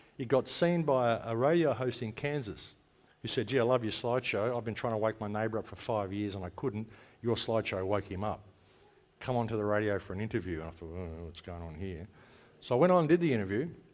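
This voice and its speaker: In a very clean recording with a silent background, a man with an Australian accent and a medium pitch talks at a very fast pace, with lively intonation and big swings in loudness. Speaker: conference speaker, radio host and activist. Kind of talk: conference talk. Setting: stage with audience. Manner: casual, conversational.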